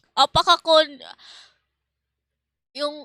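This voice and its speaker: In a very clean recording with a silent background, a woman's bright, sharp tone comes through with a dry, close sound and no echo. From Philippines. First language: Tagalog. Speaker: streamer. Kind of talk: casual chat. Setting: live stream.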